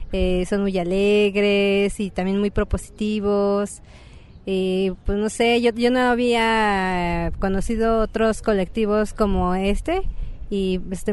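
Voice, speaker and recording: Over a quiet background, a woman speaks at a medium pitch and a fairly slow pace, her intonation flat and monotone. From Mexico, State of Mexico. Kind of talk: interview. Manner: halting.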